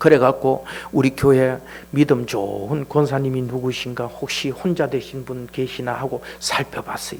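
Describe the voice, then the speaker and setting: At a fairly slow pace, a man speaks in a plain, everyday voice at a medium pitch with fairly even intonation. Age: 60s. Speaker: church elder. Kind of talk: testimony. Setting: church. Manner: casual, conversational.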